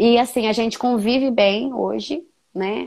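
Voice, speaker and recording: A normal speaking voice moves at a fairly slow pace. Pitch varies in an ordinary way. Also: woman. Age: 30s. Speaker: young mother sharing her story. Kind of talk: testimony.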